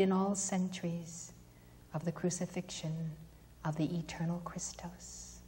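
Somewhat breathy and in a monotone, flat intonation, a woman with a fairly low pitch and a dark, mellow tone speaks at a fairly slow pace. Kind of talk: invocation prayer. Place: church.

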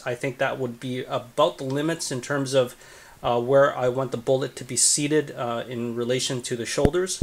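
With fairly even intonation, a man talks at a moderate pace as light background noise carries on behind him. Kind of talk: casual vlog chat. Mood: relaxed, pleased. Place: home room. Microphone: phone near.

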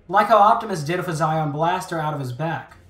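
Noticeable background noise sits under very fast speech that carries ordinary pitch variation. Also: man. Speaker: YouTube host explaining movie lore. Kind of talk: scripted narration.

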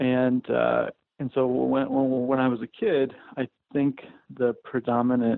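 A man speaks at a fairly slow pace in a medium pitch with vocal fry and little pitch movement, the sound dry and close with no echo.

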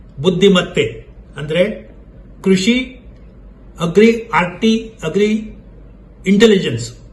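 Audible room echo surrounds a man's voice. His pitch is high, with ordinary variation. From India, Karnataka, Tumakuru district. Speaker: retired agricultural scientist and academic administrator. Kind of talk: lecture. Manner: formal; halting, short phrases.

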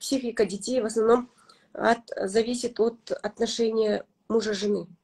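A woman with a Kazakh accent speaks at a fairly slow pace in a dark, mellow tone, her fairly high voice keeping a fairly even intonation against a quiet background. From Kazakhstan. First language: Kazakh (speaking Russian). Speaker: blogger and mother; blogger. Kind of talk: interview. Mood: warm, reflective. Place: home room. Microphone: video call.

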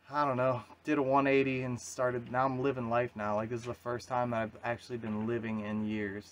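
Over light background noise, a man talks at a fairly quick pace in a flat monotone. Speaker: solo sailor vlogger. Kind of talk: casual vlog chat. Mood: reflective, earnest. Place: boat. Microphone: phone near.

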